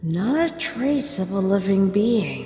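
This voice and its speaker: A put-on character voice, female-sounding, at a medium pitch for a woman and a fairly slow pace, with clear echo. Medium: fan dub. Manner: measured, knowledgeable.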